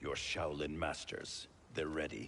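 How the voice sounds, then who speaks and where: A man's put-on character voice, very deep and low, at a fairly slow pace with clear background noise. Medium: video game. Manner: curt, commanding.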